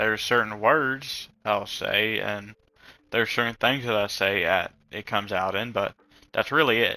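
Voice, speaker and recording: A man with an American accent mumbles quietly at a moderate pace in a fairly low pitch. His tone is bright and sharp, and his intonation fairly even. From rural US South, rural area. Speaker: vlogger. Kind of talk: casual monologue. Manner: mumbling.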